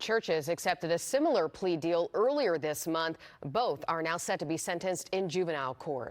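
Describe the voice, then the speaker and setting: In an American accent, a woman talks in a plain, everyday voice, fairly low in pitch, with lively intonation. Her pace is moderate and she takes hardly any pauses. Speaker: television news anchor and reporter. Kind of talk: TV news anchor delivery.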